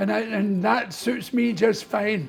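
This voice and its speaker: With music playing in the background, a man in a Scottish accent talks with ordinary pitch variation. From Scotland. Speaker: comedian and artist. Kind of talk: interview answer.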